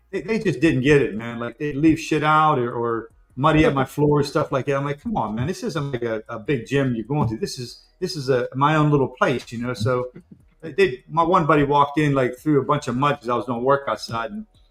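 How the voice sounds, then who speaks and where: Fairly high in pitch, a man with an ordinary speaking voice talks at a fairly quick pace with ordinary pitch variation. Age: 60s. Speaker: collectibles show co-host. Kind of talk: casual chat. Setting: live stream.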